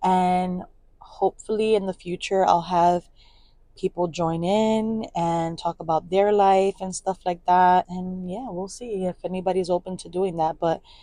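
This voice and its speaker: The voice carries an American accent and a dark, mellow tone, with monotone, flat intonation. Delivery is fairly slow, and the sound is dry and close with no echo. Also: woman, medium pitch for a woman. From New York City (Brooklyn/Queens border). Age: 30s. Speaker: vlogger, podcaster, single mom. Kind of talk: casual monologue podcast. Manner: casual, filler-heavy.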